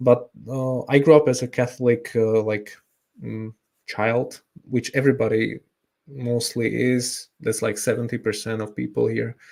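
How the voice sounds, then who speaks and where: Speaking with a Slovak accent, a man talks at a fairly slow pace in a medium pitch, his intonation monotone and flat. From Slovakia. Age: 30s. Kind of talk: interview. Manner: halting, many fillers.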